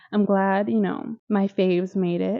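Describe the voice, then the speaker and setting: A woman with a Midwestern accent speaks at a moderate pace in a medium pitch. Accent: Midwest. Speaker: YouTuber reviewing TV shows. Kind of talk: casual commentary video. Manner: animated.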